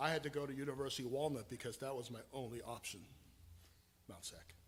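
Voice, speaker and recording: In a room with audible echo, a man speaks at a very fast pace and a medium pitch, somewhat breathy, with ordinary pitch variation. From Taiwan, then Southern California from age eleven. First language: Chinese (Mandarin). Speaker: pastor. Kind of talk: sermon.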